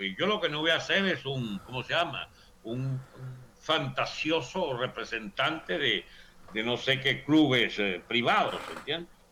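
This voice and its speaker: A man talks at a fairly slow pace in a medium pitch with lively intonation. Noticeable background noise sits behind him. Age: 70s. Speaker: political commentator. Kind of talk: political debate / interview.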